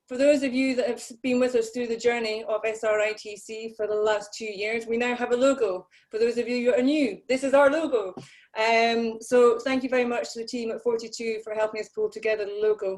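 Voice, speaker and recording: This woman has a British accent and a fairly high pitch. Her intonation stays fairly even. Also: fairly quick pace. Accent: sounds like a BBC presenter. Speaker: conference host. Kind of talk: conference welcome address. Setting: online video conference.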